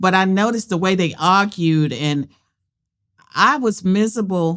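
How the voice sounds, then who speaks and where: A woman with a Southern US accent is heard on a very clean recording with a silent background. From US South. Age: 70s. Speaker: political scientist and author. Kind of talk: interview conversation. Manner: direct.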